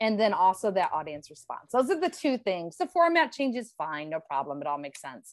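Very wide pitch swings and big shifts in loudness at a fairly quick pace, with an American accent, over a quiet background. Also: woman, medium pitch for a woman. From Ohio, Cleveland. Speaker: former game show contestant. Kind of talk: casual chat.

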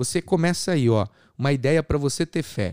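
A man with a fairly high pitch uses an animated tone and lively intonation. The recording is very clean with a silent background, and the sound is dry and close with no echo. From Brazil, São Paulo state. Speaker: podcast host, evangelical preacher. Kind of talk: sermon.

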